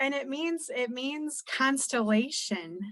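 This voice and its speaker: Her voice somewhat breathy, a woman talks with an American accent. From United States. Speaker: podcast co-host, music reviewer. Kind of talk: casual album review chat.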